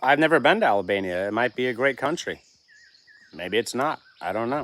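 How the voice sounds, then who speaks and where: This voice has an American accent, lively intonation and a fairly quick pace. It is a normal speaking voice. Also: man, medium pitch for a man. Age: 40s. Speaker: homesteading channel livestream host. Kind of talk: casual livestream chat, reading viewer comments. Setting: live stream with chat.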